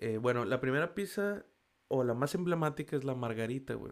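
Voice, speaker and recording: Very wide pitch swings at a moderate pace with a Mexican accent, in a very clean recording over a silent background. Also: man. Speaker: podcast host. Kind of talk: casual monologue. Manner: casual, slangy and animated.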